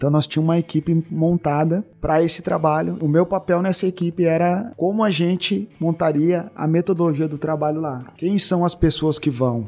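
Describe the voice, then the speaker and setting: Speaking at a moderate pace with hardly any pauses, a man has a fairly high pitch, a dark, mellow tone and ordinary pitch variation. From Porto Alegre, southern Brazil. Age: 40s. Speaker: former footballer, sports missionary. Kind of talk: interview testimony. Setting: studio.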